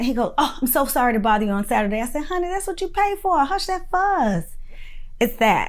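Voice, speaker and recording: An animated voice with very wide pitch swings moves at a fairly quick pace amid audible room echo. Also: woman. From Florida (Winter Haven). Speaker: direct primary care physician teaching a course. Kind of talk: online course lecture.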